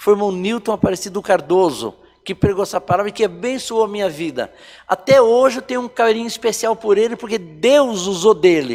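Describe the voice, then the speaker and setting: This man has a high pitch and lively intonation, and he speaks at a moderate pace. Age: 60s. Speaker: church elder giving life testimony. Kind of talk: testimony.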